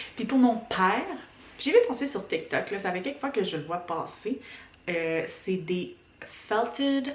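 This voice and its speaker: A woman at a fairly high pitch with very wide pitch swings, a very slow pace and long, frequent pauses, with audible room echo and noticeable background noise. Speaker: knitting podcaster. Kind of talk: casual chat.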